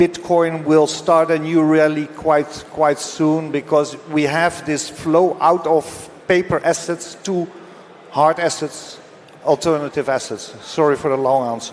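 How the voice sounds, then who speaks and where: A man talks at a fairly slow pace with a fairly high pitch. His intonation is monotone and flat, with noticeable background noise. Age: 60s. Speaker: precious metals expert. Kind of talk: panel discussion. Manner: halting.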